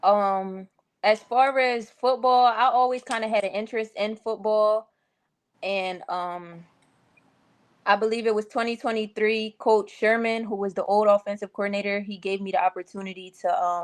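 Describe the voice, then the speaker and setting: With a Philadelphia accent, a woman speaks fairly high at a moderate pace with fairly even intonation against a quiet background. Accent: Philadelphia accent, noticeable. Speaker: college football assistant coach. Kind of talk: casual interview.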